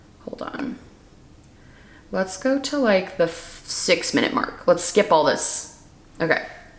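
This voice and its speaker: With lively intonation, the speaker goes at a fairly slow pace with long, frequent pauses over noticeable background noise. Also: woman. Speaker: beauty YouTuber and vlogger. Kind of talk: casual reaction video chat. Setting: home studio. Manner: casual, filler-heavy; lower, natural speaking pitch.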